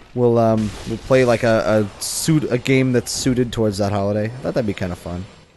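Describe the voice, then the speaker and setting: A man's medium-pitched voice at a fairly quick pace, with fairly even intonation, hardly any pauses and noticeable background noise. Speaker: gaming YouTuber. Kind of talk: let's play commentary. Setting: home recording while gaming. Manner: casual, filler-heavy with frequent swearing.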